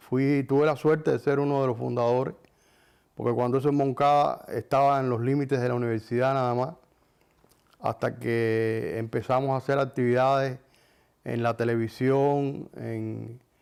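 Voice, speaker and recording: The intonation is monotone and flat. A man delivers it at a moderate pace. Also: medium pitch for a man. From Cuba, Artemisa. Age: 70s. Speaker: film director and musician. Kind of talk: interview testimony. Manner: hesitant, with fillers.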